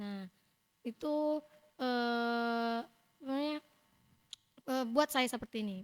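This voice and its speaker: A loud woman's voice, high in pitch with ordinary pitch variation, at a very slow pace broken by long, frequent pauses. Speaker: student organization leader. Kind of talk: casual interview. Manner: talkative.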